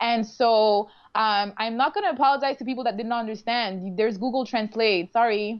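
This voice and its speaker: A woman's fairly high voice in a Quebec accent, at a moderate pace with fairly even intonation. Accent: Canadian French. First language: French. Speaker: reality show contestant. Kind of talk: casual interview. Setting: live online video stream.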